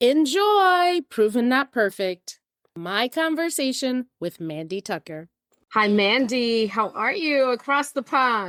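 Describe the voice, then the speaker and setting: A woman with an American accent speaks at a very slow pace in a high voice with very wide pitch swings. The recording is very clean and dry, close, with no echo and a silent background. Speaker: podcast host. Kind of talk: interview conversation.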